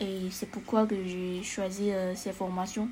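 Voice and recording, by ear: A woman speaks at a fairly slow pace and medium pitch, with little pitch movement, a dark, mellow tone, and audible room echo.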